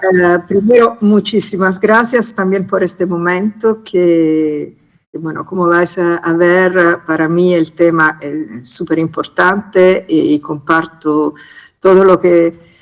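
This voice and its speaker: In an Italian accent, a woman talks very slowly with a fairly low pitch and ordinary pitch variation. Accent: Italian-tinged Spanish. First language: Italian (speaking Spanish). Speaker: conservation specialist group coordinator. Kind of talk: conference presentation. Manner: hesitant, many fillers.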